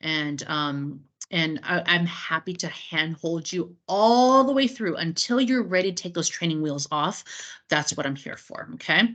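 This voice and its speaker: A woman with a fairly low pitch uses an ordinary speaking voice. She talks at a fairly slow pace with lively intonation. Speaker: cruise line sales representative training travel agents. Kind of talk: webinar training presentation. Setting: online meeting recording.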